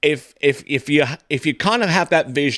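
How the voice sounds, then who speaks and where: Against a quiet background, a man with a southern English accent speaks in a dry, close sound with no echo. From southern England. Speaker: podcast host. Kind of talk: interview. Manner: halting, many repeated words.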